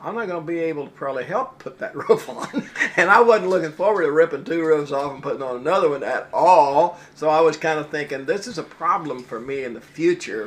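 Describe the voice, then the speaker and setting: Against noticeable background noise, a man talks at a fairly quick pace and fairly high pitch, with lively intonation, big swings in loudness and hardly any pauses. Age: 70s. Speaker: customer, retired Olympic wrestler. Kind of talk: testimonial.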